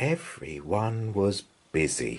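A man speaks slowly at a fairly low pitch with a slightly husky edge. His pitch swings are big.

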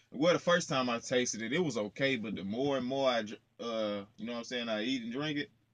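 A fairly quick pace with ordinary pitch variation. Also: man.

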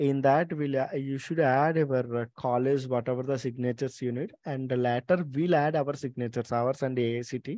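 With an Indian accent, a man speaks at a moderate pace with fairly even intonation and hardly any pauses, in a dry sound with no echo and a quiet background. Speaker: company representative hosting meeting with college coordinators. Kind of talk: online meeting presentation. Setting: video call. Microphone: video call.

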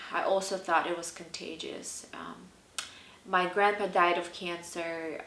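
Speaking at a fairly slow pace, a woman with a fairly low voice keeps a monotone, flat intonation amid audible room echo. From southern Belarus. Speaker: personal storyteller. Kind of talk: personal story told to camera. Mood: serious, reflective, hesitant. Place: home room.

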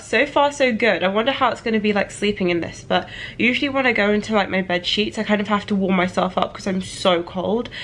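At a moderate pace, a woman speaks in a fairly high voice with lively intonation. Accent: British. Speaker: YouTuber; vlogger. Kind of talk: product review vlog; casual vlog chat. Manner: casual, with many fillers. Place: home room. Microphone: phone near.

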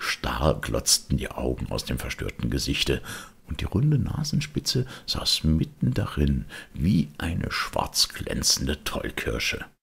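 A man speaks slowly at an extremely low pitch, with vocal fry. His pitch swings widely.

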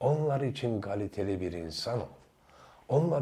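Somewhat breathy and dark, mellow in tone, a man speaks with lively intonation. His pace is moderate. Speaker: YouTuber. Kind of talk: video monologue. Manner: animated.

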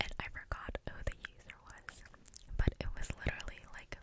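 Whispering from a woman at a moderate pace. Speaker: content creator. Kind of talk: casual vlog chat, soft ASMR-style talk. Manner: close-mic articulated ASMR whisper. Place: home room. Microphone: studio mic.

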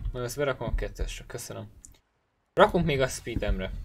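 A man talks at a moderate pace over light background noise. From Hungary. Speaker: gaming streamer. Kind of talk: live gameplay commentary. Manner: casual, thinking aloud.

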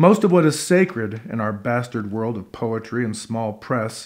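Gravelly and theatrical in tone, a man speaks with ordinary pitch variation against a quiet background. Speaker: performance poet and actor. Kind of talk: poem performed. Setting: living room concert with audience. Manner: gritty, rhythmic, theatrical delivery. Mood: wry, sardonic, deliberate. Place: home room.

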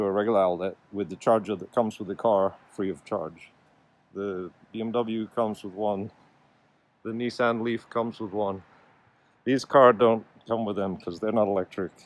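At a moderate pace with long, frequent pauses, the voice keeps fairly even intonation in a dry sound with no echo. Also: man, fairly low pitch for a man. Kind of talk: casual vlog chat. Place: street. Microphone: phone near.

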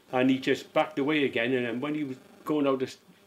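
Speaking fairly quickly in a Cardiff accent, a man uses a medium pitch. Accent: Welsh (Cardiff). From Cardiff, Wales. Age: 70s. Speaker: retired bus driver. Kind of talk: interview answer.

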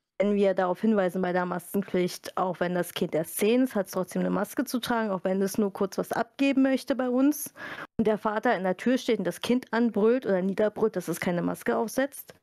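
A woman speaks at a fairly quick pace with medium pitch, ordinary pitch variation and a dark, mellow tone. The sound is dry and close with no echo, a very clean recording with a silent background. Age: 30s. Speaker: library media specialist. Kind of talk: casual interview.

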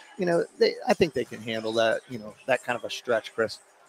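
A man speaks in an enthusiastic tone. The sound is dry with no echo, and there is light background noise. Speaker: basketball color commentator. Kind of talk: live sports commentary. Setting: courtside at a high school gym. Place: hall.

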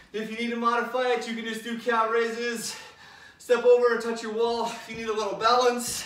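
A man speaks at a moderate pace in an extremely high pitch. His intonation is flat and monotone, with audible echo from the room. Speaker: fitness instructor. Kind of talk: workout instruction. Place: home room. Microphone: camera far.

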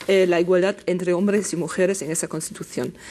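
A woman talks at a fairly quick pace, her medium pitch held in fairly even intonation. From Germany. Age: 50s. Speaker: journalist and gender consultant; journalist panel guest. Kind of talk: panel discussion. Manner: halting. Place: studio. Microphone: lapel.

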